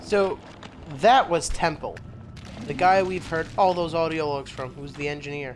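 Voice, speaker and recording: With long, frequent pauses, a man speaks at a moderate pace, his fairly high pitch showing ordinary pitch variation. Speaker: gaming youtuber. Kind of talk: let's play commentary. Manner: quiet.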